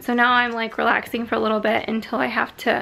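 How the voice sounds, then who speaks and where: A woman talking at a fairly quick pace over light background noise. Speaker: vlogger. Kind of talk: casual vlog chat. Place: home room. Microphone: phone near.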